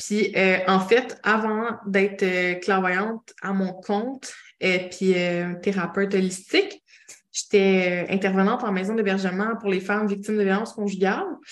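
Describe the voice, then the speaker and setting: In a Quebec accent, a woman speaks slowly at a medium pitch with flat, monotone intonation. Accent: Québécois French. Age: 30s. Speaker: clairvoyant and holistic therapist. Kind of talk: casual interview chat.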